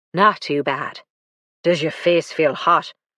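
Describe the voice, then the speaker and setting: Growling in a put-on character voice at middle pitch, the speaker moves at a fairly slow pace against a quiet background. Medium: read story. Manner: brisk, wry.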